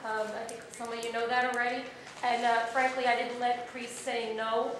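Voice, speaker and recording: There is noticeable background noise and audible room echo as a woman speaks at a high pitch. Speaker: political candidate. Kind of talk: audience question at panel. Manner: loud.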